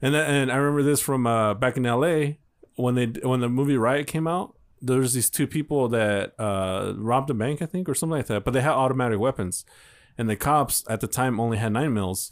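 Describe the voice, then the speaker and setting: Over a very clean recording with a silent background, a man speaks in an unremarkable speaking voice at a medium pitch, with ordinary pitch variation and very even loudness. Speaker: podcast co-host. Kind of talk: casual banter, comedy chat. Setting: studio booth. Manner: joking, playful.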